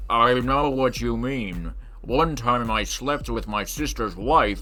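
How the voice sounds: Against noticeable background noise, a man puts on a character voice and speaks at a fairly slow pace.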